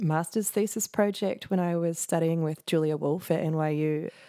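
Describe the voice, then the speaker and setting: The voice has a dark, mellow tone with a New Zealand accent. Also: woman. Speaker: composer. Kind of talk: casual interview.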